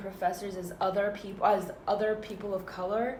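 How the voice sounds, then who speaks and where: Amid noticeable background noise and audible room echo, a woman speaks at a moderate pace and medium pitch with fairly even intonation. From Northern California (Danville, East Bay). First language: Arabic. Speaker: student podcaster. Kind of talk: casual chat. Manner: halting.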